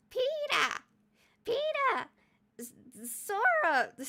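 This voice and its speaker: Someone shouts in a put-on character voice that is squeaky and extremely high in pitch. The pitch swings very widely up and down. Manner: calling out, shouting, voice cracking.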